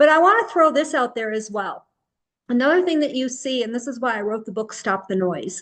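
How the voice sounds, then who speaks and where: A woman at a high pitch and a fairly quick pace. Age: 60s. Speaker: health and wellness educator. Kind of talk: educational talk. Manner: casual, conversational.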